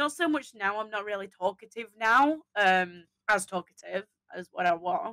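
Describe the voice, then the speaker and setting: A woman speaks in a raised, projected voice with a bright, sharp tone. Her pitch swings very widely. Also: dry, close sound with no echo. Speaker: streamer community member, graphic designer. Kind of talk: casual chat. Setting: live stream interview. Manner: loud; animated.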